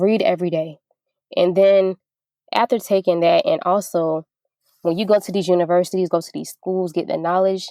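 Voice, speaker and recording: At a moderate pace with long, frequent pauses, a woman speaks at medium pitch in a dark, mellow tone, the sound dry and close with no echo. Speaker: restaurant owner. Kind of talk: interview. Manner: animated.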